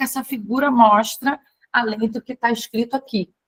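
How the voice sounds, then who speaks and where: A woman speaks at a moderate pace with a fairly high pitch and ordinary pitch variation, in a plain, everyday voice. The sound is dry and close with no echo. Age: 50s. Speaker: tarot and fortune-telling teacher. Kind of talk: online class lecture. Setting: recorded video call. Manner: casual, chatty.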